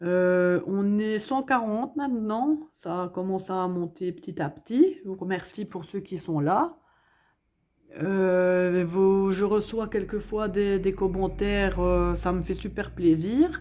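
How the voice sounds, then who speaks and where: A woman speaks very slowly with a Belgian accent, a medium pitch and ordinary pitch variation. Her tone is dark and mellow, and the recording is very clean with a silent background. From Belgium, Hainaut province. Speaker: budgeting vlogger. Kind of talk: casual vlog chat. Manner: hesitant, many fillers.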